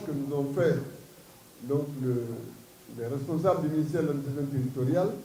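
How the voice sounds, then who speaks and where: A man is heard with audible room echo. Noticeable noise runs in the background. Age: 70s. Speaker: party leader. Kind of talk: press statement. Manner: halting.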